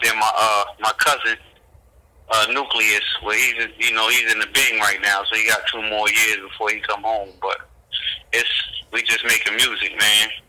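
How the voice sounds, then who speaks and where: Moderate pace, medium pitch and a bright, sharp tone from a man, with monotone, flat intonation. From New Jersey. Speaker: rapper and record label founder. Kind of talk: interview conversation.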